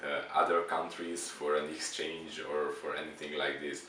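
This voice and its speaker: A man with a Hungarian accent speaks at a fairly slow pace, with audible room echo and noticeable background noise. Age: 20s. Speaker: exchange student. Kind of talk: interview. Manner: halting.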